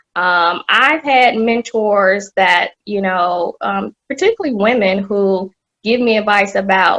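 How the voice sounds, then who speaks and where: Here a woman with a Southern US accent talks at a very slow pace. Her voice is medium-pitched with a bright, sharp tone and ordinary pitch variation. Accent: Southern drawl. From US South, Atlanta. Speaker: corporate executive. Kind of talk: podcast interview.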